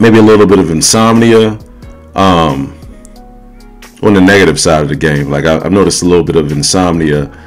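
A man speaks with a very deep, low pitch. Faint music can be heard behind him. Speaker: supplement reviewer. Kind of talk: casual vlog chat. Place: home room. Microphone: phone near.

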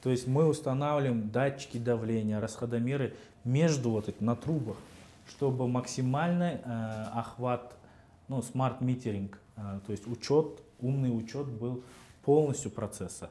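A man's dark, mellow voice at a fairly slow pace, with ordinary pitch variation and long, frequent pauses. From Kazakhstan. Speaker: head of a state housing and utilities agency; interview guest. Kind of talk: interview. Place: studio. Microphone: lapel.

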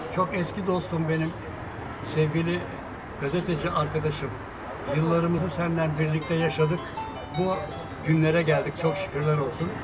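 Clear music plays in the background as a man speaks at a moderate pace with long, frequent pauses. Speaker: lawyer. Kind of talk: casual talk to camera. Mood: warm, smiling, friendly. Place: cafe.

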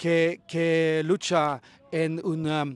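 Spoken very slowly with a Swedish accent, the voice sounds dry, with no echo at all. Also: man. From Sweden. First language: Swedish (speaking Spanish). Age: 40s. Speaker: football club shareholder, businessman; interviewee. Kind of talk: interview. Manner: halting, many fillers. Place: open country. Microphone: handheld.

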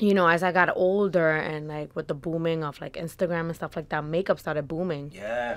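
A woman speaks at a fairly quick pace. Her pitch is fairly low, with ordinary pitch variation. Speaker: podcast guest. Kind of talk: interview answer. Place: studio. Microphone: studio mic.

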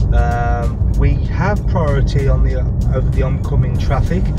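A man's voice, dry and echo-free, over loud background music. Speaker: driving instructor. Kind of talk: tutorial. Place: car.

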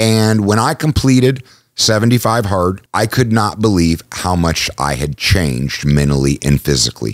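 A man speaks at a fairly slow pace with a fairly low pitch and very wide pitch swings. The sound is dry with no echo, and the background is quiet. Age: 40s. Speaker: podcast host, small business entrepreneur; podcast host. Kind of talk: solo podcast monologue. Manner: casual, with filler words and repetitions. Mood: reflective, personal. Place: studio. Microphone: studio mic.

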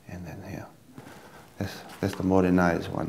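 A man with a Tongan accent speaks at a very deep, low pitch in a dark, mellow tone over light background noise. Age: 20s. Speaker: dancer and dance teacher. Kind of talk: dance tutorial; interview. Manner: halting. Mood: calm, explanatory. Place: home room.

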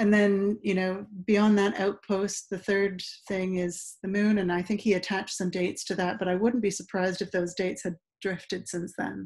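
In monotone, flat intonation, a woman speaks at a moderate pace over a quiet background. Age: 40s. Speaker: science writer; interview guest. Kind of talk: casual interview. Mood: thoughtful, conversational. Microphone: video call.

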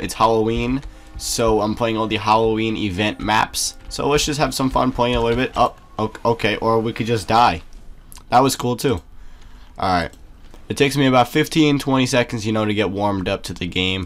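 With music in the background, a man of medium pitch speaks at a fairly quick pace with ordinary pitch variation. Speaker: gamer. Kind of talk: gameplay commentary. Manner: casual.

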